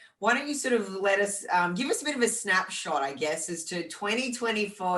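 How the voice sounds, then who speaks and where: In a room with audible echo, a woman with an Australian accent speaks at a moderate pace, her tone bright and sharp and her intonation lively. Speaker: fitness podcast co-host and fitness champion. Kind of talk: casual chat.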